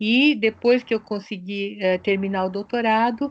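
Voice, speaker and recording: In a Japanese accent, a woman speaks at a moderate pace. Her intonation stays fairly even. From Brazil, São Paulo (born in Japan). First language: Japanese (speaking Portuguese). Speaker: sociologist and researcher. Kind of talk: interview. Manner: hesitant, with fillers.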